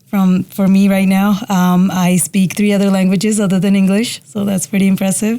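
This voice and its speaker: With a slight Indian accent, a woman speaks at medium pitch in a monotone, flat way, at a moderate pace with hardly any pauses and very even loudness, over noticeable background noise. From India, moved to Utah at ten. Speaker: police officer. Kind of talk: casual interview.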